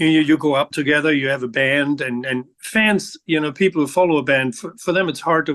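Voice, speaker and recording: A man talks at a fairly quick pace with hardly any pauses, in a normal speaking voice. His fairly high pitch shows ordinary variation. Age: 60s. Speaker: rock bass guitarist. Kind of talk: interview.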